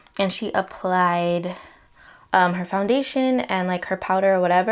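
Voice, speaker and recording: A woman speaks at a medium pitch with ordinary pitch variation, on a very clean recording with a silent background. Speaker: beauty vlogger. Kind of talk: makeup tutorial. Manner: casual, chatty; trying to be quiet.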